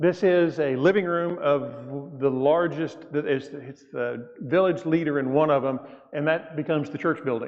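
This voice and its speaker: With a Southern US accent, a man talks at a moderate pace in a fairly high pitch and fairly even intonation, with noticeable background noise. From US South. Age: 60s. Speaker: church elder, guest mission speaker. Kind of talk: mission report talk in church. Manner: casual, conversational.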